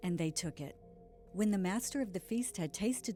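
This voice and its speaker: A woman speaks at a moderate pace with lively intonation. Music plays in the background. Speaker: audiobook reader. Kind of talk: scripture audiobook reading.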